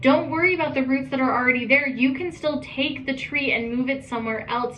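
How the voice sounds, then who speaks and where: A woman's high-pitched voice at a very fast pace, amid noticeable background noise and audible room echo. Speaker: tarot reader. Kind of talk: tarot reading monologue. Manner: animated.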